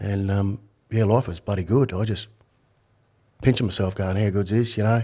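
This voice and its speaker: This man has an Australian accent and fairly even intonation. He leaves long, frequent pauses. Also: fairly low pitch for a man, moderate pace. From Australia, Brisbane (north side). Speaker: retired undercover police officer, author. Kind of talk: podcast interview.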